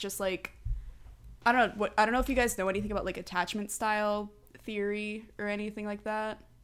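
The speaker is a woman. Her pitch is fairly high. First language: Spanish. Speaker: podcast guest. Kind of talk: casual chat.

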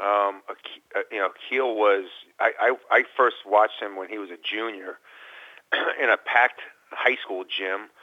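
A man with a fairly low pitch speaks at a fairly slow pace, with long, frequent pauses. His intonation is fairly even, yet his loudness swings widely. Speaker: college basketball coach. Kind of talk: radio interview. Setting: phone call.

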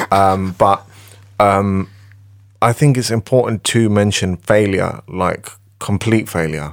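A man with a fairly low voice speaks very slowly, breaking often into long pauses, with ordinary pitch variation. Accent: British. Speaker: music producer. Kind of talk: casual chat.

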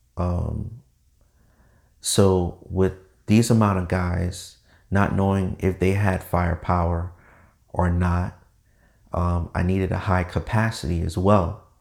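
Very slow speech with long, frequent pauses, fairly even intonation, and a very clean recording against a silent background. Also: man, very deep, low pitch for a man. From Caribbean background. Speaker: podcast host, firearms enthusiast. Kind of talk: casual monologue. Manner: casual, conversational with filler words.

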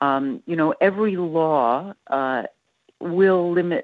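In a Canadian accent, a woman speaks with ordinary pitch variation. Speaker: civil liberties educator. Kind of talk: interview. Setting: phone call.

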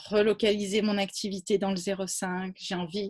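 A woman speaks at a medium pitch. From Provence, southern France. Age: 30s. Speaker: founder of women's environmental initiatives. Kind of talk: interview. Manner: halting, many repetitions.

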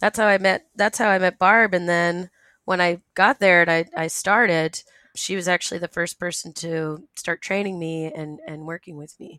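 Using a plain, everyday voice with an American accent, a woman talks at a moderate pace with fairly low pitch, fairly even intonation and big swings in loudness, captured in a dry, close sound with no echo. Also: very clean recording, silent background. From Rhode Island, US. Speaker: former private zoo worker. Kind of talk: interview.

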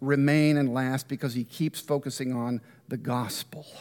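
Heard in a very clean recording with a silent background, a man talks fairly slowly. He has a normal speaking voice and a fairly high pitch. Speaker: guest speaker on C S Lewis. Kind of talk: lecture. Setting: church.

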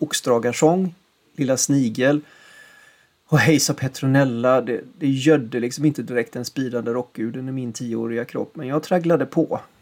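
This man has an ordinary speaking voice, medium in pitch. He talks at a moderate pace with fairly even intonation. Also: very clean recording, silent background. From western Sweden, Gothenburg area. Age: 50s. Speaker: podcast host, musician. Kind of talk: scripted narration.

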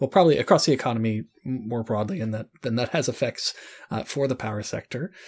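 Very fast speech comes from a man at a medium pitch. The sound is dry and close with no echo, in a very clean recording over a silent background. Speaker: podcast host. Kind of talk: interview.

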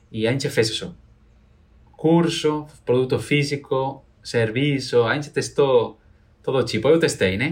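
A man with a Spanish accent speaks at a fairly slow pace, taking long, frequent pauses. His voice is fairly high and somewhat breathy, with ordinary pitch variation. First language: Spanish (speaking Portuguese). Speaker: entrepreneur, doll seller, violinist. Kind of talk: interview testimony.

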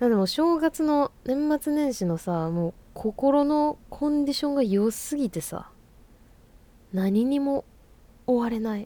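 A woman talks at a fairly slow pace in a high pitch. Her tone is dark and mellow, and her intonation is lively. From Fukuoka, Japan. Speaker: podcast host, musician. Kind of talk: casual monologue.

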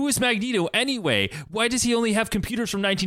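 A text is read aloud. The reading voice sounds natural.

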